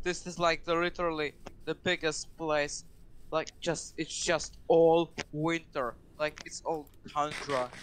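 Light background noise sits behind a man speaking with a non-native accent at a fairly slow pace. His fairly high voice stays monotone and flat. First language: not English. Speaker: game server player; streamer. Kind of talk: casual gaming chat. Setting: online voice chat. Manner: halting. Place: home room.

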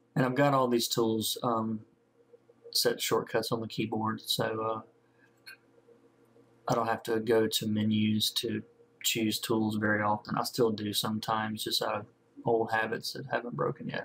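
A man with a Southern US accent talks at a moderate pace, with long, frequent pauses. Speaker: comic book colorist. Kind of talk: tutorial narration over screen recording. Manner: casual, hesitant with many fillers.

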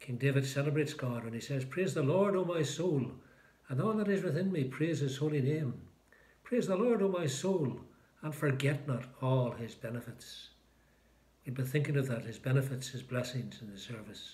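At a moderate pace, a man speaks in a somewhat breathy voice with ordinary pitch variation. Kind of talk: liturgical prayer and short talk. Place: home room. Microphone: phone near.

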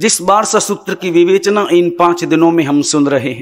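A man speaks at a very slow pace. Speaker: religious teacher. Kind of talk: sermon. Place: stage. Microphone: podium.

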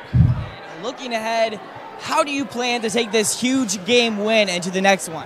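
A man talks fairly slowly in a high voice with ordinary pitch variation. Noticeable background noise runs underneath. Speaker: sideline reporter. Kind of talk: interviewing coaches and players; interview question. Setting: gym sideline. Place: hall. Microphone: handheld.

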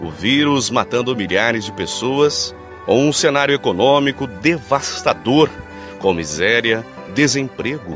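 Medium-pitched male voice at a very slow pace, with music in the background. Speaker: voice-over announcer. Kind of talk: reflective message narration.

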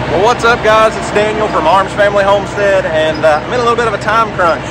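Ordinary pitch variation against loud background noise, with a dry sound and no echo. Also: man. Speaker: homesteader vlogger. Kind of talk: casual vlog chat. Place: farm machine. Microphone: phone near.

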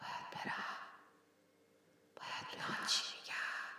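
Very slow whispering from a woman, with noticeable background noise. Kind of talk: art video voice-over, dreamlike monologue. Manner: whispered, repeating words as in a nightmare.

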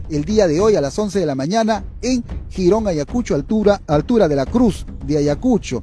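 With music in the background and a dry sound with no echo, a man speaks at a moderate pace. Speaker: local news reporter. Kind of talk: local TV news announcement. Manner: hesitant, with filler sounds. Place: street. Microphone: handheld.

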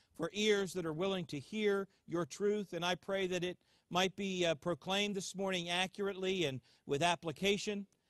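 In a quiet background with a dry, echo-free sound, a man speaks at a high pitch and moderate pace with fairly even intonation. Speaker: pastor. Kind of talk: sermon. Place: open country.

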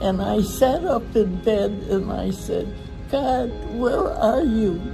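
With clear music playing behind her, a woman is talking. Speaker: interviewee. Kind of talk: interview answer. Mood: emotional, tearful. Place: hall. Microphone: phone near.

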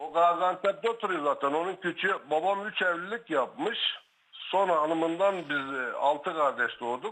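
Bright and sharp in tone, a man's high voice moves at a fairly slow pace with ordinary pitch variation. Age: 60s. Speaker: caller, brother of guest. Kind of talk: phone-in testimony.

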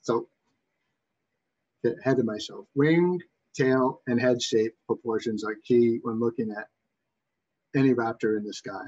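A man with a Boston accent at a fairly slow pace, with long, frequent pauses. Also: ordinary pitch variation. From Massachusetts. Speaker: webinar presenter on raptor identification. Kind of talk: educational presentation. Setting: online webinar. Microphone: webcam.

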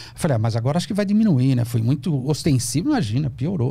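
Somewhat breathy, a man talks very fast with very wide pitch swings. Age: 50s. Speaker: psychoanalyst. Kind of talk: casual interview. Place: studio. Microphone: studio mic.

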